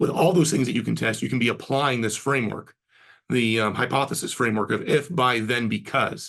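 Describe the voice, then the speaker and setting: The speaker keeps a moderate pace with ordinary pitch variation. The background is quiet. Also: man. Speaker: marketing agency co-founder, webinar host; webinar presenter. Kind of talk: webinar presentation. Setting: online webinar. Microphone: webcam.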